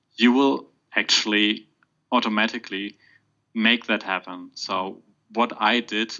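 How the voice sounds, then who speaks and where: A man with a German accent speaks at fairly low pitch, with ordinary pitch variation and long, frequent pauses. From Germany. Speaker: podcast guest, exam candidate. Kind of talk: podcast interview. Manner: halting, many fillers.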